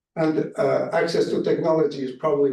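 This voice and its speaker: This man's voice is fairly high in pitch with a dark, mellow tone. He speaks at a fairly quick pace. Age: 70s. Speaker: diplomat, keynote speaker. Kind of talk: speech. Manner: formal.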